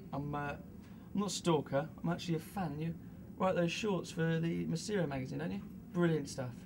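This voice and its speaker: A fairly quick delivery amid noticeable background noise. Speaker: actor in a student short film. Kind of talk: scripted dialogue. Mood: friendly, slightly awkward.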